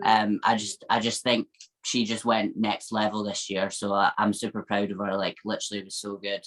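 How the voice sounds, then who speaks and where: In a Scottish accent, a woman speaks at a fairly quick pace in a very deep, low pitch. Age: 20s. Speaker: IFBB fitness pro athlete. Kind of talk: interview answer. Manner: upbeat, positive.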